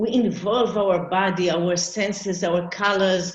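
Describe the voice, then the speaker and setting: At a very slow pace, a woman speaks with monotone, flat intonation amid audible room echo. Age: 60s. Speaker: arts therapist. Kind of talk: conference presentation.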